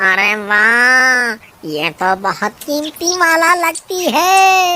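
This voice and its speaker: High-pitched cartoonish character voice with very wide pitch swings at a very slow pace. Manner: panicked, comic.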